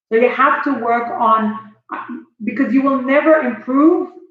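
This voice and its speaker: At a fairly slow pace, a woman speaks with audible room echo around her. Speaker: motivational speaker. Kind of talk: motivational talk. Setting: live stream on Facebook. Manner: animated.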